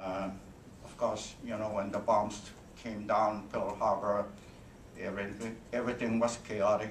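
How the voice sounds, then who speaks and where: A man with a Hawaiian accent speaks at a fairly low pitch and a fairly slow pace. His intonation is flat and monotone, while his loudness swings widely. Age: 80s+. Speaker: World War II veteran, military interpreter. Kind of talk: speech to an audience. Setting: convention hall.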